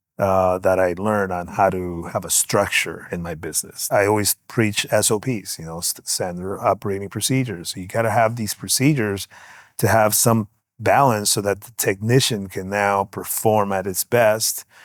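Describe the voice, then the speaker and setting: This man speaks with a Spanish accent at a moderate pace. His pitch is fairly low and his intonation fairly even. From Guatemala, moved to Los Angeles at nine. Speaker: music mixing engineer. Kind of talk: casual interview.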